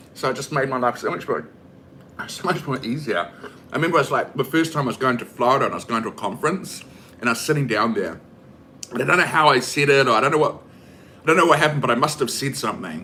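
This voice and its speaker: Very fast, animated delivery with ordinary pitch variation and long, frequent pauses. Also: man, fairly high pitch for a man. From New Zealand. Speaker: streamer. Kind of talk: casual chat.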